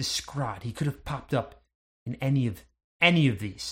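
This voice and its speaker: A somewhat breathy male voice of medium pitch at a moderate pace. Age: 40s. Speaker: game master of a tabletop role-playing podcast. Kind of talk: tabletop role-play narration and casual chat.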